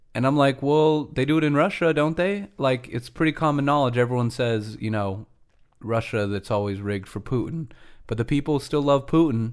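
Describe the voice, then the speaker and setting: A man with an American accent has a plain, everyday voice at a medium pitch, with ordinary pitch variation and a moderate pace. The recording is very clean, with a silent background. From United States. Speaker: podcast co-host. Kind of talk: casual chat.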